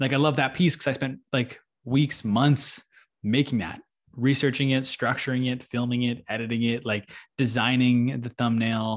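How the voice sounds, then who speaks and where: In a normal speaking voice with a Canadian accent, a man talks at a moderate pace and medium pitch, his intonation fairly even against a quiet background. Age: 20s. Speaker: podcaster and social media manager. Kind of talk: casual interview.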